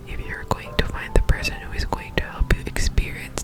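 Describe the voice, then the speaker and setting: Music plays in the background as a woman whispers at a moderate pace. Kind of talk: reading from a book, gentle affirmations. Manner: soft whispering.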